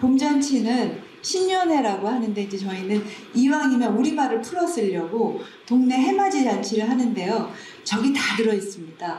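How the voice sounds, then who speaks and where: A woman speaks at a fairly slow pace with a fairly high pitch that swings very widely. Audible room echo and noticeable background noise are present. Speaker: community library director. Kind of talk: conference presentation. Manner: slow-paced speech; casual conversational.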